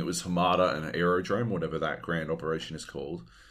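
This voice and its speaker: Here is a man with an Australian accent and a very deep, low pitch. He talks at a fairly quick pace with fairly even intonation. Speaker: podcast host. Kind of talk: casual chat.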